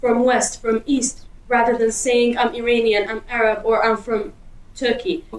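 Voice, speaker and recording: With a Kurdish accent, a woman talks at a moderate pace in a high pitch, her pitch varying in an ordinary way. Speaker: interviewee. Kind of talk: street interview.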